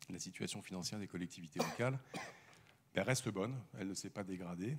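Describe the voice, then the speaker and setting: A man talks at a fairly quick pace in a very deep, low voice. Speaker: debate moderator. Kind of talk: panel debate introduction. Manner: halting.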